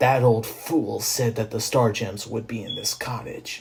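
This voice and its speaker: Growling in a put-on character voice, a man speaks at a medium pitch. His pace is moderate. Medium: read story. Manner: commanding.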